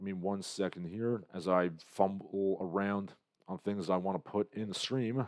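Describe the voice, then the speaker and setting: Speaking at a moderate pace, a man with a fairly low voice has an unremarkable speaking voice. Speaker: livestream host. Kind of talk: casual livestream chat.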